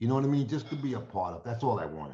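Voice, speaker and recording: A somewhat breathy man's voice, dark and mellow in tone, at medium pitch. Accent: New York. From New York (Yonkers). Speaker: friend giving a eulogy. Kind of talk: memorial tribute. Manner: casual, halting.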